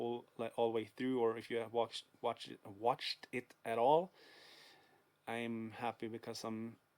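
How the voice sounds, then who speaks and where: A man with a Swedish accent speaks at a moderate pace, medium in pitch and monotone, flat in intonation. The recording is very clean with a silent background. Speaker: video game collector vlogger. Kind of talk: casual vlog. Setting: dark room at home. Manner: hesitant, many fillers.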